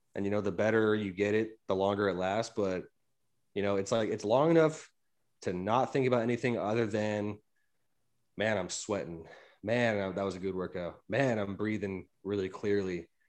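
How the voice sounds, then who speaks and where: The voice belongs to a man, fairly low in pitch with ordinary pitch variation. It is an unremarkable speaking voice. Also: moderate pace, quiet background. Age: 30s. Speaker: podcast host, gym enthusiast. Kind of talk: casual chat.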